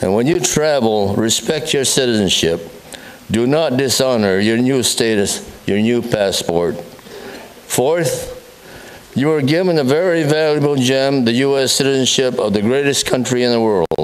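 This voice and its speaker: A man with an American accent speaks at medium pitch and a fairly slow pace, his loudness very even, with audible room echo and noticeable background noise. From USA. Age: 90s. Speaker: war veteran. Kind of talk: public speech. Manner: halting.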